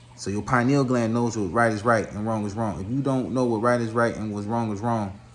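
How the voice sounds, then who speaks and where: A man's fairly low voice at a fairly quick pace, with audible room echo. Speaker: spiritual commentator. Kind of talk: monologue lecture. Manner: fast; animated.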